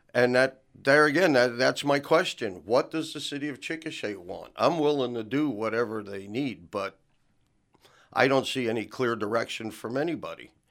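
On a very clean recording with a silent background, a man with an American accent speaks at a moderate pace with medium pitch and ordinary pitch variation. He has an unremarkable speaking voice, and his loudness swings widely. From New Jersey. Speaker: city council candidate. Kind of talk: radio interview. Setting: radio studio.

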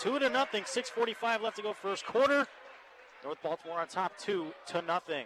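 Lively intonation marks this man's high-pitched voice in an American accent. He keeps a moderate pace over noticeable background noise. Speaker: play-by-play sports announcer. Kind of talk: live commentary. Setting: courtside at a high school gym. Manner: animated.

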